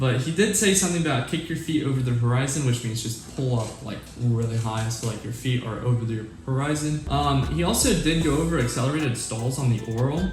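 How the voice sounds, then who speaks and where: A man at a medium pitch, with lively intonation and a fairly quick pace, over noticeable background noise. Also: hardly any pauses. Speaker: aviation YouTuber, new private pilot. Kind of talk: tutorial. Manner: casual.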